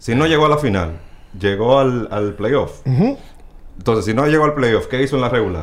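A man's medium-pitched voice at a moderate pace, with lively intonation and audible room echo. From Dominican Republic. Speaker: baseball stats website creator, former sports journalist. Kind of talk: casual chat.

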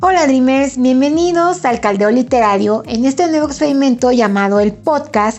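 A woman with a central Mexican accent speaks in a high pitch with lively intonation at a moderate pace. Her loudness stays very even, and she leaves hardly any pauses. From Mexico, Puebla. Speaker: podcast host, book blogger. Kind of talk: casual solo podcast monologue.

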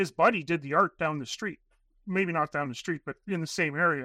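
A man's bright, sharp voice with a Canadian accent, ordinary pitch variation, and a dry, close sound with no echo. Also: quiet background. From Northern Canada. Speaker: airline manager and documentary filmmaker. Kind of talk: casual interview. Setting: at his workplace. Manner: halting, many fillers.

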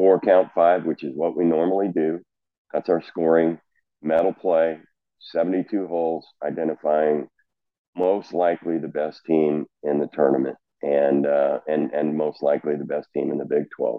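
A man talks at a very deep, low pitch with fairly even intonation. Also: moderate pace. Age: 60s. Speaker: college golf coach. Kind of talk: casual interview chat.

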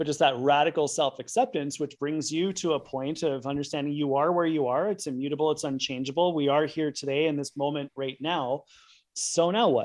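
A man with a normal speaking voice, fairly high pitch, fairly even intonation and a fairly quick pace. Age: 50s. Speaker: sleep and performance scientist. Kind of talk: interview.

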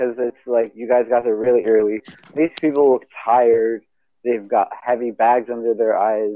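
A quiet background behind reading aloud in a natural voice, pitch varying in an ordinary way

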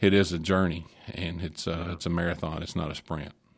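A man with a Kentucky accent speaks in a very deep, low voice and a flat monotone. The recording is very clean, with total silence behind him. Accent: southern US (Kentucky). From Glasgow, Kentucky. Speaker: minister. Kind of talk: casual chat. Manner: halting.

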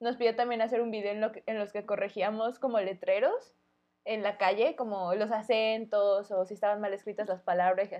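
A woman's voice, a plain, everyday voice, with fairly even intonation. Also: fairly high pitch for a woman, fairly quick pace. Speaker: podcast co-host. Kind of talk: casual chat. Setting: home recording, street vendors pass by.

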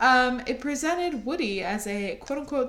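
Here is an unremarkable speaking voice with lively intonation. It moves at a moderate pace. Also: woman. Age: 20s. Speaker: podcast co-host. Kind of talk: casual chat.

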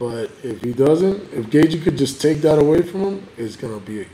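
A man speaks at a moderate pace in a fairly high voice, somewhat breathy, with a dark, mellow tone and very wide swings in pitch. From Cuba. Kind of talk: casual chat over beers. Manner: casual, profane, jokey.

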